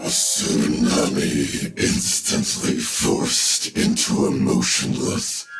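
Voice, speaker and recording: A man's growling voice with a slight echo. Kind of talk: dark sci-fi narration. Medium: audio drama. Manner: measured, brooding.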